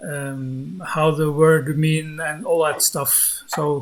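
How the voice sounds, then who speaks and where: A man with a Norwegian accent, fairly high in pitch, with fairly even intonation amid noticeable background noise. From Norway. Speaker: YouTuber debunking flat earth. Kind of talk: live-streamed debate. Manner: calm; halting, hesitant.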